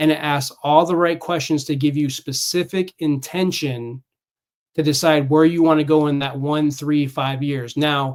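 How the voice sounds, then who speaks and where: With an American accent, a man with a fairly high pitch speaks at a moderate pace in a monotone, flat intonation. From California. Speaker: Navy veteran and fitness coach. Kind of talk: casual interview chat.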